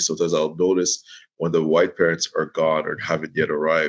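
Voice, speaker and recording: A man talking at a very fast pace. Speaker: teacher. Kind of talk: interview. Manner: loud; animated.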